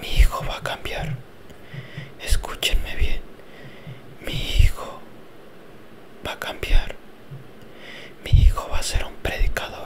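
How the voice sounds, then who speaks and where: A man whispering at a very slow pace, with noticeable background noise. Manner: whispered, soft-spoken.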